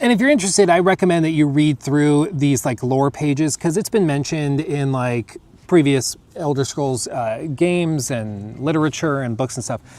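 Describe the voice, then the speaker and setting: A man with an American accent and a fairly high pitch, ordinary pitch variation, and noticeable background noise. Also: moderate pace, hardly any pauses. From United States. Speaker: gaming streamer. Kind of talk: casual chat.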